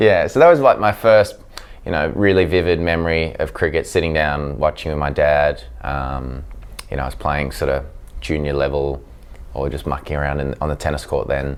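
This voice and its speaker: There is noticeable background noise behind this speaker. A man with an Australian accent talks at a moderate pace. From South Africa, raised in Australia (Sydney North Shore) from age seven. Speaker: professional cricketer. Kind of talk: interview. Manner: hesitant, many fillers.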